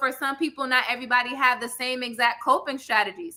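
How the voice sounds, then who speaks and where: Raising and projecting her voice, a woman speaks at a fairly quick pace in an animated tone with a high pitch. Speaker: therapist. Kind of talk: panel discussion. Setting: live stream show. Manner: loud.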